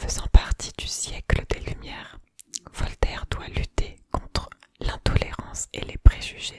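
Whispering and soft-spoken, a woman speaks at a very slow pace over light background noise. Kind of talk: soft-spoken reading, ASMR-style. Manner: soft close-mic ASMR whisper. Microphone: studio mic.

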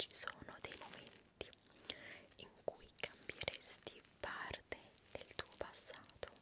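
A woman whispers in an intense tone at a very slow pace. Long, frequent pauses break up her speech. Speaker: ASMR creator. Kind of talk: casual Q&A chat. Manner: intense close-mic whisper. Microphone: studio mic.

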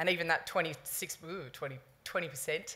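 A woman with an Australian accent speaks in a very deep, low pitch. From Sydney, Australia. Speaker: sports community engagement manager; conference presenter. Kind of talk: conference talk. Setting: conference stage with audience. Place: hall. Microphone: podium.

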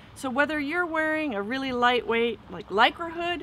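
A woman speaks over noticeable background noise, her voice dry with no echo. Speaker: dive gear instructor. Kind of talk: tutorial. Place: garden.

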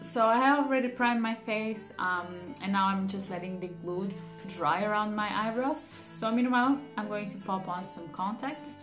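Clear music plays in the background as a woman speaks. She keeps a moderate pace with ordinary pitch variation. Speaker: beauty vlogger. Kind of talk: casual vlog chat. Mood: cheerful, playful. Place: home room. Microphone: phone near.

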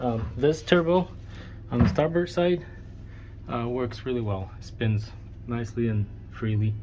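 Someone speaks at a fairly slow pace with light background noise. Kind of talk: casual vlog chat. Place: boat. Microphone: phone near.

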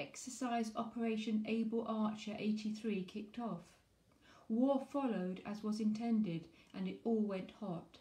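A woman speaks with a fairly high pitch and a dark, mellow, somewhat breathy tone. Her intonation stays fairly even, and audible room echo surrounds her. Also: fairly slow pace. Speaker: poetry reviewer and author. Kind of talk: poem reading aloud, performed. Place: home room. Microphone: phone near.

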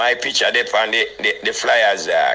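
The speaker is a man with a Jamaican accent. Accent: Jamaican patois. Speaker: dancehall DJ. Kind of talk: heated phone rant. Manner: animated.

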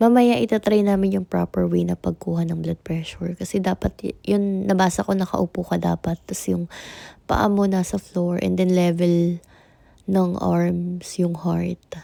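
The sound is dry and close with no echo, on a very clean recording with a silent background. A woman speaks at a fairly slow pace. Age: 30s. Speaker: vlogger. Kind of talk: casual vlog unboxing.

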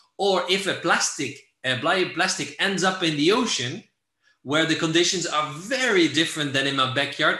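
A man talks at a moderate pace with a fairly high pitch and a bright, sharp tone. Room echo is audible, though the background is quiet. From Netherlands. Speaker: environmental NGO director; presenter. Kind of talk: lecture. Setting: video call. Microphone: video call.

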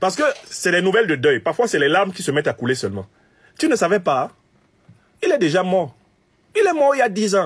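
A man's fairly quick speech with very wide pitch swings, over a quiet background. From Cameroon. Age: 50s. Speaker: political commentator. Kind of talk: political commentary monologue. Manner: animated.

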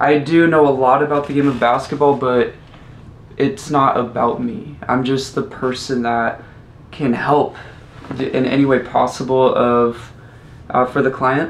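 A man speaks at a fairly slow pace with long, frequent pauses and fairly even intonation. Light background noise and audible room echo sit behind him. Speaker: basketball skills trainer. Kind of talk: interview answer. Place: home room.

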